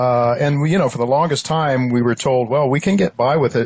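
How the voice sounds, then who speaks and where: With an American accent, a man speaks at a medium pitch with ordinary pitch variation over noticeable background noise. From US Midwest, Ohio. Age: 70s. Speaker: podcast host. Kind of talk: interview. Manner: halting, many fillers.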